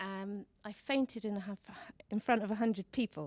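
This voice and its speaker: A woman speaks at a moderate pace with a British accent, her voice shaky. The sound is dry and close, with no echo. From Britain. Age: 40s. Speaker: speaker at a talk event. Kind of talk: public talk. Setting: stage with audience.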